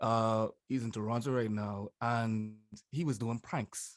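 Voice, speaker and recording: A man is speaking here. He has a strong Bahamian accent. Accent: broad Bahamian. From Bahamas. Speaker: YouTuber, social commentator. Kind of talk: interview.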